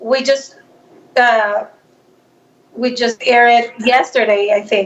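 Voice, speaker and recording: A woman in a Salvadoran accent, fairly high-pitched, very slow, with fairly even intonation. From El Salvador. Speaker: actress and filmmaker. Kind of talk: interview.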